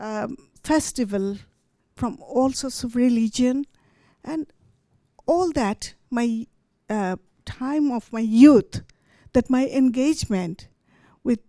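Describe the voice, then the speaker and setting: In a very clean recording with a silent background and a dry, close sound with no echo, a woman with a high pitch and a dark, mellow tone speaks at a very slow pace, with ordinary pitch variation and long, frequent pauses. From Bangladesh. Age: 70s. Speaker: poet. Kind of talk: storytelling talk. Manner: halting.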